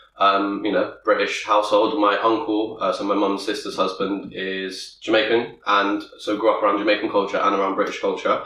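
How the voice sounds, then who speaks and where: A man talks at a moderate pace, and audible room echo can be heard around his voice. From Bristol, England (St Paul's). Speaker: podcast co-host, father. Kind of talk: casual chat.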